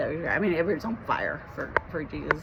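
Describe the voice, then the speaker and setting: A woman talks very fast with audible room echo and music in the background. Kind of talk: personal testimony to camera. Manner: halting, many fillers and repetitions.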